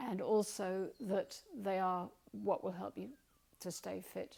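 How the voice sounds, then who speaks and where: Vocal fry colors this woman's voice, set at a medium pitch. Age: 70s. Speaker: retiree and volunteer community radio DJ. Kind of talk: personal talk to camera. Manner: animated; hesitant with fillers.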